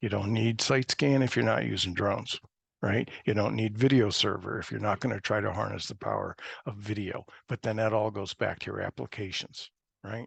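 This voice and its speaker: With vocal fry and a fairly low pitch, a man talks at a fairly quick pace, the sound dry and close with no echo against a quiet background. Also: ordinary pitch variation. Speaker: presenter at a GIS webinar. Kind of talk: webinar presentation. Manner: fast.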